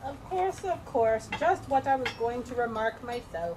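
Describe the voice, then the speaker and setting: A woman's put-on character voice, high-pitched and hoarse, with very wide pitch swings, a moderate pace, and light background noise. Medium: stage play.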